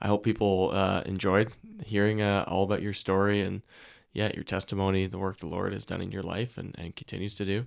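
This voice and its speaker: A man talks at a fairly quick pace with a fairly low pitch and monotone, flat intonation. The recording is very clean, with a silent background. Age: 20s. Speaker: podcast host. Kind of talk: interview. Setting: studio.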